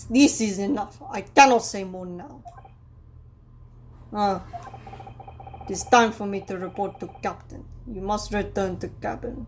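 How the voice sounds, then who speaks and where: A man puts on a gruff character voice with a Russian accent, pitched high and moving at a moderate pace with long, frequent pauses. His loudness swings widely over clear background noise. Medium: solo performance. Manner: blunt broken English, gruff.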